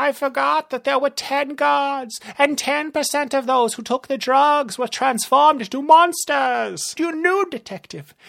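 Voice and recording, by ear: This put-on character voice has a fairly bright tone with vocal fry, moving at a fairly slow pace with few pauses and ordinary pitch variation.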